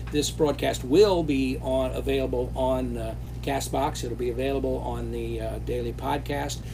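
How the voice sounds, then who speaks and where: A man speaks at a moderate pace in a very deep, low voice with monotone, flat intonation, with audible room echo and noticeable background noise. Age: 70s. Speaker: company founder hosting live Q&A. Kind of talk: live stream Q&A. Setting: live stream while traveling. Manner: hesitant, many fillers.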